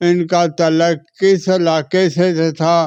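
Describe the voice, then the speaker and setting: The man's voice is high in pitch, with fairly even intonation. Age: 80s+. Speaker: elderly eyewitness of history. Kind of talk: interview, oral history.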